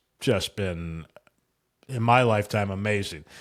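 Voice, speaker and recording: A man with an ordinary speaking voice talks at a moderate pace. The recording is very clean, with a silent background. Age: 60s. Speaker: trading podcast co-host. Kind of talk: casual chat.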